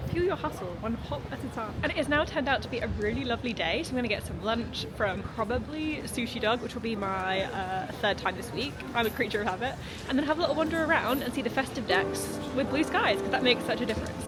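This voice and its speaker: Over crowd noise and audible room echo, a woman talks very fast with lively intonation at a fairly high pitch. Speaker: vlogger. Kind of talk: casual vlog talk to camera. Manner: speaking quietly.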